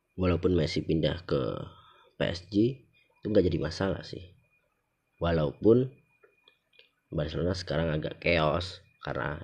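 Speaking at a fairly slow pace with long, frequent pauses, a man uses a very deep, low pitch with ordinary pitch variation. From Java. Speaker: podcast host. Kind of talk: casual solo monologue. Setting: recorded late at night.

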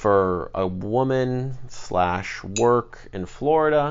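Audible room echo hangs around a man as he talks. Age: 20s. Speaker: podcast host. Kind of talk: personal monologue. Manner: hesitant, many filler words.

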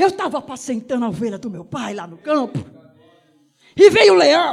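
With very wide pitch swings, a man talks in an animated tone. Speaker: preacher. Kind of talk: sermon, preacher in full flow. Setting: church, evening service. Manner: animated, fervent, punctuated by repeated shouts of 'aleluia'; rhythmic, exhortative, addressing the congregation directly.

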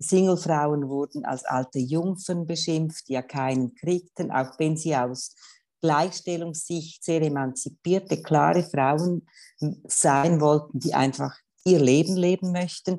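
Her pitch is very deep and low, with a dark, mellow tone. The woman talks at a very slow pace against a quiet background. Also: ordinary pitch variation. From Switzerland, canton Schwyz. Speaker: gender equality official. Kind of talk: interview.

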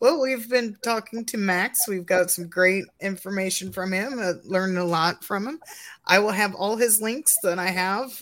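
A woman speaks in a plain, everyday voice at a medium pitch and a moderate pace, with ordinary pitch variation. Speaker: podcast co-host. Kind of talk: casual interview.

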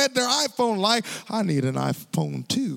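Over noticeable background noise, a man with a high pitch for a man speaks at a fairly slow pace in an animated tone. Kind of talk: sermon. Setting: stage with live youth audience at camp. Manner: animated, exhorting the crowd with call-and-response; fervent, building in intensity.

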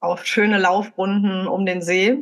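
A woman with a plain, everyday voice speaks at medium pitch and a fairly slow pace. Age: 30s. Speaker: podcast co-host. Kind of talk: casual chat.

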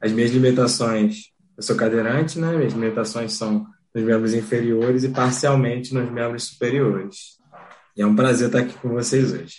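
This man has an unremarkable speaking voice, medium in pitch, with fairly even intonation and a moderate pace. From Rio de Janeiro, Brazil. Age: young. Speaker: wheelchair rugby athlete. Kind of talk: casual interview. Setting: home office.

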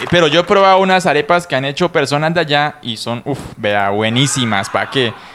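A man's fairly high voice at a fairly quick pace, lively in intonation with hardly any pauses, against noticeable background noise. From Casanare, Colombia. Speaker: podcast co-host. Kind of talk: casual chat. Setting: studio.

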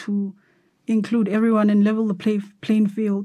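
At a moderate pace, a woman talks in a fairly high, somewhat breathy voice with a dark, mellow tone. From South Africa, Cape Town. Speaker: photographer. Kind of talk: interview. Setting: studio.

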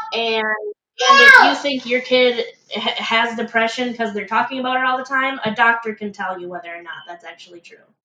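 A woman with a plain, everyday voice and an American accent speaks at a fairly quick pace and a fairly high pitch, with ordinary pitch variation and big swings in loudness. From Michigan, US. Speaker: parent. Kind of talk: casual chat.

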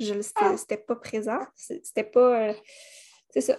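With a Quebec accent, a woman speaks at a fairly slow pace. Her pitch is fairly high, and the background is quiet. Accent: Québécois French. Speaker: holistic coach. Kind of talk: interview. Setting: remote recording with baby in carrier. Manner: hesitant, many fillers.

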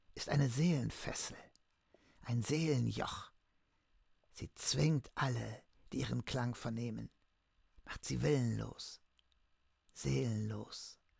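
Whispering in a breathy, put-on character voice, a man speaks at a fairly slow pace with long, frequent pauses. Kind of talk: ominous, conspiratorial. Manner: whispering, breathy.

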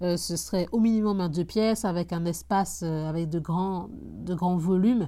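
A woman speaks at a fairly slow pace in a dark, mellow, somewhat breathy voice pitched fairly low. Her pitch varies in an ordinary way, and the recording is very clean with a silent background. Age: 20s. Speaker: real estate investor podcaster. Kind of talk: casual solo podcast. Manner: halting, many fillers and repetitions.

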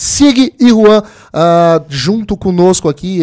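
The delivery has an animated tone with ordinary pitch variation. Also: man. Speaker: podcast host. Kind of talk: casual chat.

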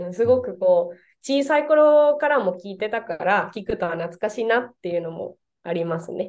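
A woman speaks with a Spanish accent at a moderate pace. Her fairly high voice swings very widely in pitch. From Venezuela. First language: Spanish (speaking Japanese). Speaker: Japanese teacher. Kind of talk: casual interview. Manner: halting, many fillers.

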